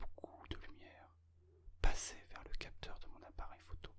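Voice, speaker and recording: A man whispering at a fairly slow pace. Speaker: ASMR creator and amateur photographer. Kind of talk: ASMR whispered relaxation talk about photography and travel. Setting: close-mic binaural ear-to-ear recording. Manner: whispered, soft-spoken.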